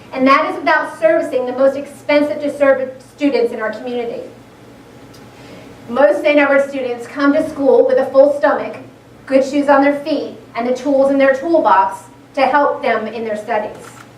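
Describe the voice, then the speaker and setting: A woman with a high pitch speaks with fairly even intonation. Noticeable background noise and audible room echo fill the recording. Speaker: school board member. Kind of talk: public presentation. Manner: fast.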